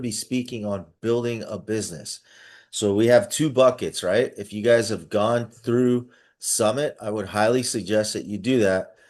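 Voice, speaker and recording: In front of a quiet background, a man speaks at medium pitch and a moderate pace. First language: not English. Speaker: business coach. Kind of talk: online coaching session. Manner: animated; halting.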